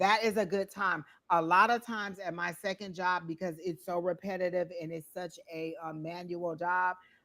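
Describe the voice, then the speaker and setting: A woman speaks in a bright, sharp tone. Her intonation is monotone and flat. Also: fairly low pitch for a woman. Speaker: psychic tarot reader. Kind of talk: live tarot reading. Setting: livestream. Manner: fast.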